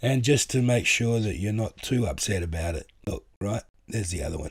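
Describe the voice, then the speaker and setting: Lively in intonation and fairly quick, a man with an Australian accent speaks at a fairly low pitch, somewhat breathy, on a very clean recording with a silent background. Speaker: vlogger. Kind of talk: casual monologue.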